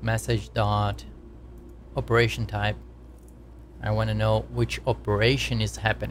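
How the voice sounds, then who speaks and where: A man with a non-native accent and a very deep, low pitch, at a moderate pace, with vocal fry, monotone, flat intonation and long, frequent pauses. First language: not English. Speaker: game developer streamer. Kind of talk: live coding stream. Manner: casual, repetitive explaining.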